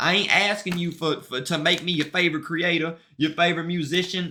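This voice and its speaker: A man with an American accent, high in pitch, animated, and bright and sharp in tone. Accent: country but street, Southern. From US South, Mississippi. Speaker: streamer and musician. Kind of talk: casual livestream chat. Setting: livestream. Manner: animated, repetitive.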